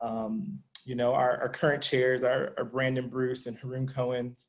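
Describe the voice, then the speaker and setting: A man talks at a medium pitch with an American accent. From Denver, Colorado. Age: 30s. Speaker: donor and philanthropy group member. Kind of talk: panel discussion. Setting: video call.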